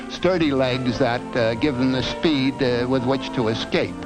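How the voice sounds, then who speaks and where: Music plays in the background as the speaker goes at a moderate pace with ordinary pitch variation. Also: man. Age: old. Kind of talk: educational film narration. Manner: meandering, rambling, hesitant.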